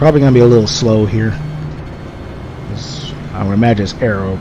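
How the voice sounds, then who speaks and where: Noticeable background noise fills the clip. Through it, a man speaks at a fairly low pitch. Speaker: sim racer. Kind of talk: live commentary while racing. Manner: distracted, conversational.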